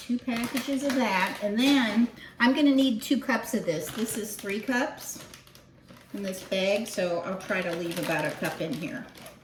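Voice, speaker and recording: Her fairly high voice carries lively intonation. Audible room echo and noticeable background noise fill the recording of this woman. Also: moderate pace. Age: 60s. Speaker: home cooking video host. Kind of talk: cooking tutorial, casual chat. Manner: casual, chatty.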